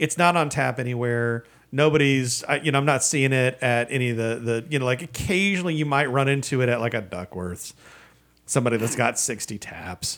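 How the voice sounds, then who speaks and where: A man speaks in an American accent at a medium pitch, with ordinary pitch variation. It is an unremarkable speaking voice. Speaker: podcast co-host. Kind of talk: casual chat.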